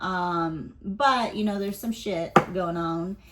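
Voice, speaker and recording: A woman's medium-pitched, ordinary speaking voice, at a fairly slow pace with fairly even intonation. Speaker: tarot reader. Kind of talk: casual tarot reading. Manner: casual, filler-heavy.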